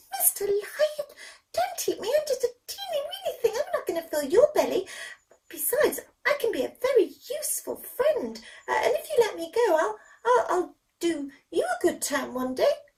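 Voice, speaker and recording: A put-on, squeaky character voice at an extremely high pitch, with very wide pitch swings and a moderate pace. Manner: pleading, nervous.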